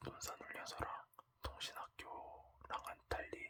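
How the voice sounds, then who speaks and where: A man is whispering. His words come out in a whisper throughout. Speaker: former army signal soldier. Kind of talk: ASMR talk. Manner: whispered.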